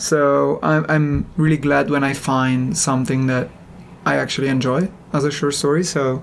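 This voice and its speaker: At a moderate pace, the voice speaks with a non-native accent. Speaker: podcast co-host. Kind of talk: casual chat. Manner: calm, relaxed.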